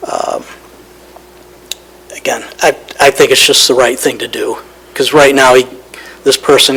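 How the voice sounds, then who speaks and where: Noticeable background noise accompanies a man whose speech comes at a fairly slow pace. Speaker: county staff presenter. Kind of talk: presentation at public meeting. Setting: county board meeting.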